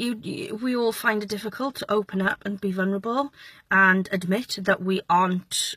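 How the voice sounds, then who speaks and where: A woman talks at a moderate pace with a bright, sharp tone, her voice dry with no echo over a quiet background. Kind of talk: casual vlog chat. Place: car. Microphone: phone near.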